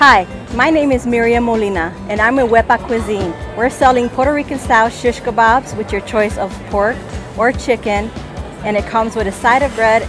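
Clear music plays in the background as a woman talks at a moderate pace with ordinary pitch variation, the sound dry with no echo. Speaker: food stall vendor. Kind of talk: interview answer. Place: market. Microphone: lapel.

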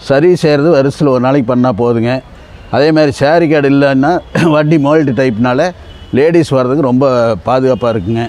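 Recorded with a dry sound and no echo, a man speaks at a fairly high pitch with ordinary pitch variation. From Karur district, Tamil Nadu. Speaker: vintage scooter owner. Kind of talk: interview answer. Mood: proud, warm. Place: street.

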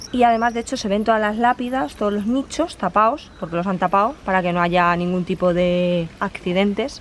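A woman's unremarkable speaking voice at medium pitch, fairly quick, with ordinary pitch variation and light background noise. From Spain, not Galicia. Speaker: travel vlogger. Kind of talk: travel vlog narration. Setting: outdoors. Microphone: phone near.

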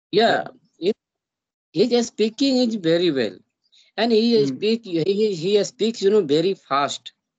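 A man with an Indian accent, high in pitch and lively in intonation, at a fairly slow pace with long, frequent pauses, very even loudness and a quiet background. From India, Bihar. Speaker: YouTuber learning English. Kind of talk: casual English practice conversation. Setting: video call. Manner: halting. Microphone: video call.

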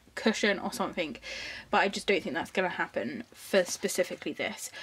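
Ordinary rises and falls in a woman's medium-pitched voice

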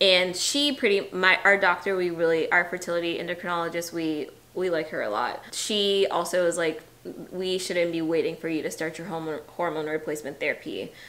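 Talking at a fairly quick pace, a woman with an American accent uses a fairly low pitch and ordinary pitch variation. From US South, Atlanta; US South. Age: 30s. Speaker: teacher, vlogger. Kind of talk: casual chat; casual vlog chat. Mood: serious, emotional. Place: home room. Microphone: camera far.

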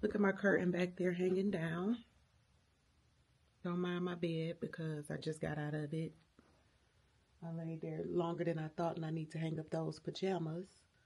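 At a moderate pace, the delivery sounds somewhat breathy. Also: woman, fairly low pitch for a woman. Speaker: home vlogger. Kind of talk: casual vlog chat. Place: home room. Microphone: phone near.

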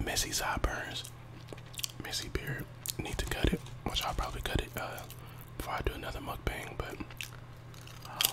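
A man speaks at a fairly quick pace. Loud background noise runs underneath. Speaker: mukbang creator. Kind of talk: casual vlog chat while eating. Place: home room. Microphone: earbuds.

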